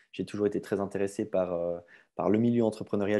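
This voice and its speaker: With a Swiss accent, this voice has a dark, mellow tone, moves at a fairly quick pace, and sits over a quiet background. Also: man. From Switzerland, Vaud (near Aubonne). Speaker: gym owner. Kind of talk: podcast interview.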